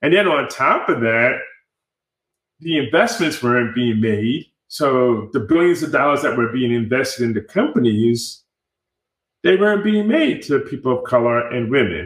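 With an American accent, a man speaks in a plain, everyday voice at medium pitch with lively intonation. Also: moderate pace. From New York (Bronx and Rockland County suburbs). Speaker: tech startup accelerator founder. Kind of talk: interview.

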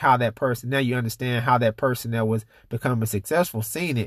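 A man talks at a fairly quick pace in a medium pitch with ordinary pitch variation, a plain, everyday voice, recorded dry and close with no echo in a very clean recording with a silent background. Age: 30s. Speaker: podcast host. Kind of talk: casual chat.

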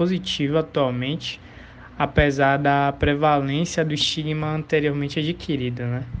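Here a man talks with a fairly high pitch and monotone, flat intonation. His pace is moderate. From Brazil, Salvador (Bahia). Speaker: student and community project leader. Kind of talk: interview. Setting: remote interview.

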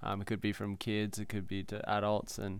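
Here a man speaks with an Australian accent. His pitch is fairly low. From New South Wales, Australia. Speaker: big wave surfer. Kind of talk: casual chat. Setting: outdoors on a veranda.

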